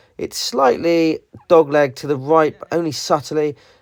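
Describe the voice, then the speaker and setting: A man with a British accent and a fairly high pitch, on a very clean recording with a silent background. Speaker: golf vlogger. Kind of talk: voiceover commentary.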